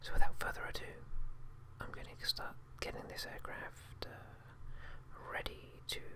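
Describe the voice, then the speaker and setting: Someone whispers in a British accent at a fairly slow pace, with long, frequent pauses. Noticeable background noise runs underneath. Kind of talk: ASMR whisper gameplay narration. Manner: whispered, quiet, relaxing.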